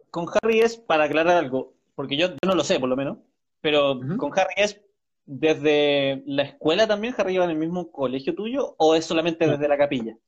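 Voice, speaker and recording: A man at a fairly high pitch and a fairly quick pace. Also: ordinary pitch variation. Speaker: live-stream interview host. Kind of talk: casual live-stream interview.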